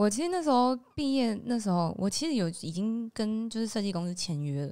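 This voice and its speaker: A woman's dark, mellow voice with lively intonation at a moderate pace, on a very clean recording with a silent background. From Taiwan, Nantou (Puli). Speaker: singer and livestreamer. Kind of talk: interview.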